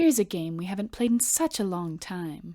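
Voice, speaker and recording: In a very clean recording with a silent background, a woman uses a put-on character voice at medium pitch and a moderate pace. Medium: audio drama. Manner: purring, sweetly playful.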